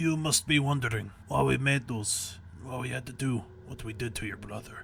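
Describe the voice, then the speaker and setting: A man puts on a raspy character voice in a strong Russian accent, at a medium pitch and a moderate pace. His loudness swings widely over clear background noise. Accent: very thick Russian. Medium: read story. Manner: calm, menacing.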